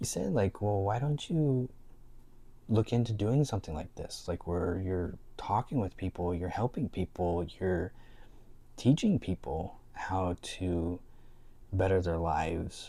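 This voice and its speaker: A man speaks at a fairly slow pace in a very deep, low pitch, his tone dark, mellow and somewhat breathy. The intonation is lively, and the recording is very clean with a silent background. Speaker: spiritual life coach video creator. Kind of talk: casual talk to camera.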